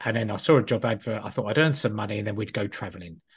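Against a quiet background, a man with a British accent speaks at a medium pitch, somewhat breathy, with ordinary pitch variation. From UK. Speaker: business coach. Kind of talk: interview. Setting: video call.

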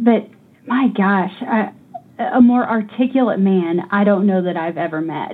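A woman speaks at a fairly slow pace with an American accent, in an ordinary speaking voice. Her pitch is medium, with ordinary pitch variation. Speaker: niece of Nancy Cruzan, hospital worker.

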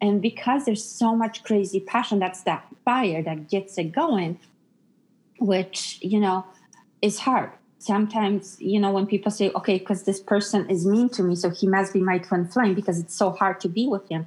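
At a moderate pace, a woman talks in a plain, everyday voice at a medium pitch with ordinary pitch variation. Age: 40s. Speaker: psychic medium and life coach. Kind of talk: casual chat; sales pitch.

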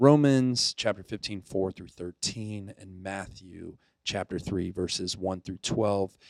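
On a very clean recording with a silent background and a dry, close sound with no echo, a man with an American accent speaks very slowly in a fairly low pitch with ordinary pitch variation. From US South, Pensacola, Florida. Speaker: youth ministry director. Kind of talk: devotional reflection. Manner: casual with fillers.

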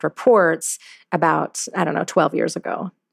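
A woman with an American accent, her pitch fairly low, her pace fairly quick, in a dry, close sound with no echo. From US South, Louisiana. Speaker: CEO. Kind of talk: interview. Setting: remote call.

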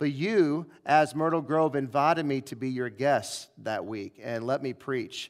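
An ordinary speaking voice from a man with an American accent, fairly high in pitch with ordinary variation, at a fairly slow pace on a very clean recording with a silent background. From US Midwest, St. Louis. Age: 40s. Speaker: pastor. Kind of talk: sermon. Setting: church.

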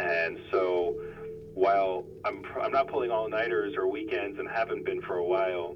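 Audible room echo surrounds a speaker with an American accent talking at a moderate pace. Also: man. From US South, South Florida. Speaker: company executive. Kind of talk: interview. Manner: halting, many fillers and repetitions.

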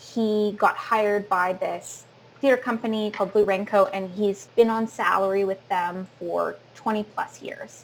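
With a Canadian accent, a woman talks fairly slowly at a medium pitch in an ordinary speaking voice, on a very clean recording with a silent background. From Sarnia, Ontario, Canada. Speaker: actor and theater educator. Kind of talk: casual interview chat.

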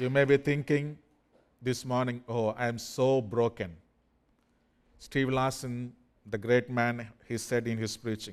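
A man speaks very slowly at a medium pitch, his intonation fairly even. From India. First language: not English, an Indian language. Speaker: pastor. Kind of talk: sermon. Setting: church.

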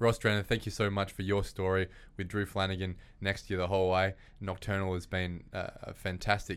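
With an Australian accent, a man speaks very fast at a very deep, low pitch in a very clean recording with a silent background. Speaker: property podcast host. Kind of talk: interview. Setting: studio.

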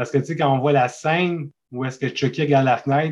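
With a plain, everyday voice, a man speaks at a fairly high pitch and with fairly even intonation. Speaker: horror film fan and painter. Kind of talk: casual chat.

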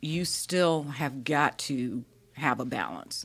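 A woman with a Southern US accent, at a very slow pace. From US South. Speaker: grant professional. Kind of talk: casual interview. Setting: studio.

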